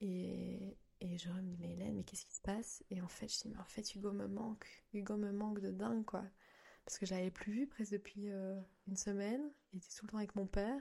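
Her voice is somewhat breathy and dark and mellow in tone as this woman talks at a fairly quick pace with fairly even intonation. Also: medium pitch for a woman. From Belgium. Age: 20s. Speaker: mother of two. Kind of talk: casual interview.

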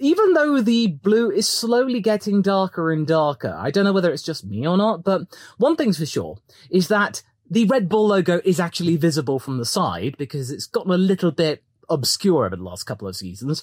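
Someone talks at a fairly quick pace on a very clean recording with a silent background. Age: 30s. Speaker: F1 YouTuber. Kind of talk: casual reaction commentary.

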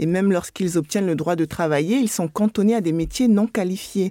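A dark, mellow voice speaks at a moderate pace with ordinary pitch variation, sounding dry and close with no echo on a very clean recording against a silent background. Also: woman. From United States. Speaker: anthropologist. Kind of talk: interview.

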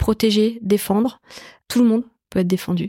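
Recorded very cleanly with a silent background and a dry, close sound with no echo, a woman speaks at a fairly quick pace in a medium pitch with a dark, mellow tone. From Paris southern suburbs, Évry. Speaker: tech company executive. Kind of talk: interview conversation. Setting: in the guest's office.

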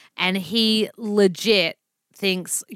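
The sound is dry and close with no echo. A woman speaks in a bright, sharp tone with a strong Australian accent. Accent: broad Australian. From Melbourne, Australia. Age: 30s. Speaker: nutritionist and author. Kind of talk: casual chat. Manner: animated, casual.

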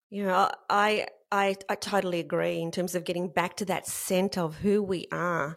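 On a very clean recording with a silent background, a woman talks at a medium pitch and a fairly slow pace with fairly even intonation. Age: 50s. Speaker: podcast host. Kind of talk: interview.

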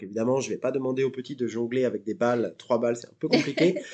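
The tone here is dark and mellow. The speaker is a man. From France, Normandy (Seine-Maritime). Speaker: circus teacher. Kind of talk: interview. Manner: hesitant, many fillers.

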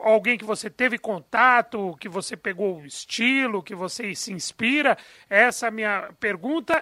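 Recorded very cleanly against a silent background with a dry, close sound and no echo, a man speaks in a raised, projected voice with a bright, sharp tone, big swings in loudness, a moderate pace and hardly any pauses. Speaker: radio sports panelist. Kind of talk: radio interview.

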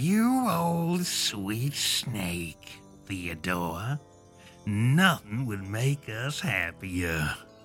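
Over clear music in the background, a low, hissing put-on character voice speaks at a very slow pace. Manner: sarcastic, sweetly mocking.

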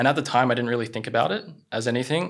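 A man's medium-pitched voice with an Australian accent, at a fairly quick pace. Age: 20s. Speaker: content creator. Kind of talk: casual chat.

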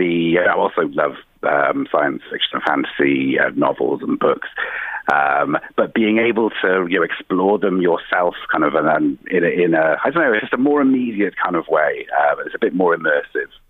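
A man speaks with a Welsh accent at very even loudness. Noticeable background noise runs underneath. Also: moderate pace. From South Wales. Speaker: company CEO. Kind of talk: interview. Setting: phone call. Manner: halting.

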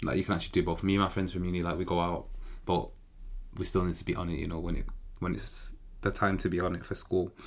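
With a Manchester accent, a man speaks at a very fast pace and a very deep, low pitch in a monotone, flat intonation, broken by long, frequent pauses. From Manchester, England. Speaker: law student podcaster. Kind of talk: casual solo monologue.

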